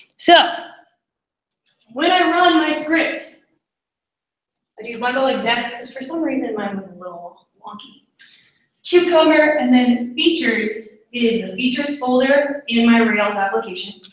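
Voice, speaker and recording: Lively in intonation and high in pitch, a woman speaks with big swings in loudness and long, frequent pauses amid audible room echo. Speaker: coding bootcamp graduate presenting a project. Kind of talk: tech presentation.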